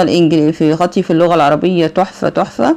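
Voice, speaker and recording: Noticeable background noise surrounds a woman with an Egyptian accent. She has a fairly low pitch and a moderate pace. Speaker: accounting teacher. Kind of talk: lecture.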